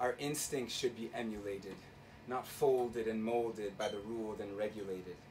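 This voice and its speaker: A man speaks at a moderate pace with a medium pitch and fairly even intonation. Noticeable background noise runs behind him. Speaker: spoken word poet. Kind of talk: live spoken word poetry performance. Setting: live venue, bar.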